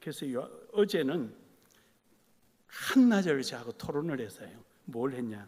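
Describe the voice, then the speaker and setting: A man's fairly high-pitched voice with lively intonation, a fairly slow pace, long, frequent pauses and audible room echo. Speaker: pastor. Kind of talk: sermon.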